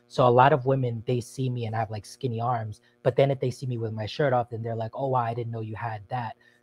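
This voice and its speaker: Over music in the background, a man talks at a very fast pace with hardly any pauses. His medium-pitched delivery stays monotone and flat. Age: 30s. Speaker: caller. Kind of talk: call-in advice chat.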